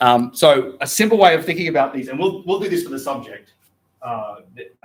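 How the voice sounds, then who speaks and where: Lively intonation marks this voice with an Australian accent. Its loudness swings widely. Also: man, fairly high pitch for a man, fairly quick pace. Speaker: philosophy lecturer. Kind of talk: lecture. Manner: hesitant, many fillers.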